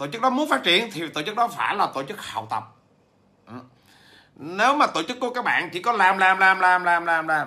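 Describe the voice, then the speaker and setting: A man's raised, projected voice, high in pitch, fairly quick, with very wide pitch swings. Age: 40s. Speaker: business trainer and author; business trainer. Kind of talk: livestream talk to viewers. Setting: livestream. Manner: hesitant, many fillers. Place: home room. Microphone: phone near.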